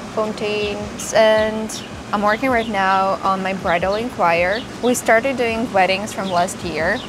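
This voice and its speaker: A woman at a medium pitch, fairly slow pace and fairly even intonation, amid noticeable background noise and audible room echo. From Moldova. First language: Romanian. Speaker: florist vlogger. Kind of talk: casual vlog talk to camera. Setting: outdoors on home patio.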